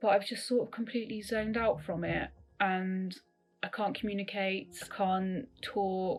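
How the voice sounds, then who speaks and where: A woman speaks with a British accent at a moderate pace. Her medium pitch shows ordinary variation. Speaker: interviewee with a neurological disorder. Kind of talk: interview. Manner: hesitant.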